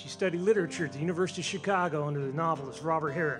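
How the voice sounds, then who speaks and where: Over music in the background, a man speaks very fast with a fairly high pitch and ordinary pitch variation. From Southern United States. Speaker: storyteller; newspaper columnist. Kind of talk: live storytelling performance.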